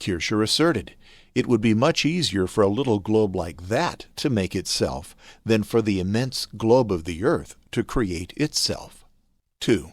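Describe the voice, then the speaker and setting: A man talks in a fairly low pitch that moves through very wide pitch swings. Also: very clean recording, silent background. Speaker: voice actor. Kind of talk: religious instruction narration.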